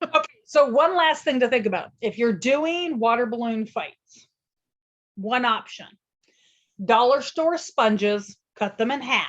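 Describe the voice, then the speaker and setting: A loud woman speaks at a fairly slow pace with a high pitch, lively intonation, and long, frequent pauses. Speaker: podcast host, childcare consultant. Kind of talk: casual podcast chat.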